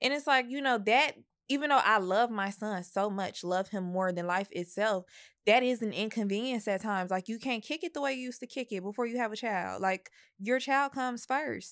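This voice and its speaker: A woman with a fairly high pitch speaks at a fairly quick pace with ordinary pitch variation, on a very clean recording with a silent background. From Chicago. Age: 20s. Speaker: young mother. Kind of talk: casual chat.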